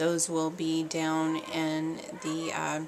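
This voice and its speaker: A woman speaks quietly at a very slow pace with a very deep, low pitch, over noticeable background noise. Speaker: parenting vlogger. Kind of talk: casual vlog monologue. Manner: hesitant, many fillers.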